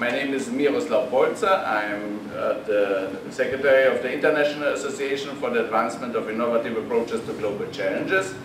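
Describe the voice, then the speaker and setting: A man talks with hardly any pauses over noticeable background noise. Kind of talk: opening remarks speech. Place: meeting room. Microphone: podium.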